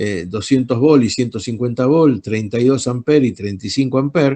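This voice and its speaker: A man talks with an ordinary speaking voice, his medium pitch and moderate pace carried by lively intonation. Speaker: electronics teacher. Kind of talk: online lecture. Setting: video call.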